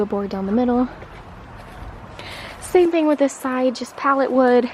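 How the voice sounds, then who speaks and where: A woman speaks in a high voice. Background noise is noticeable. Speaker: backyard chicken keeper. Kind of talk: casual talk to camera. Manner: hesitant, casual.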